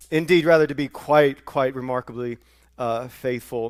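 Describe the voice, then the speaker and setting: A man talks with a Southern US accent. The sound is dry and close, without any echo. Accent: Southern US, noticeable today. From US South. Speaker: pastor. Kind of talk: sermon. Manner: halting, many fillers and repeats.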